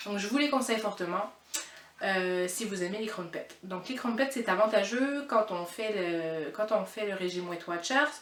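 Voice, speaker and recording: A woman speaks at a fairly slow pace with medium pitch and ordinary pitch variation. Noticeable background noise runs underneath. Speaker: cooking vlogger. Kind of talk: cooking tutorial. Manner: hesitant, stumbling.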